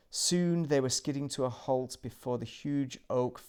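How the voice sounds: A natural reading voice whose pitch shifts in an ordinary way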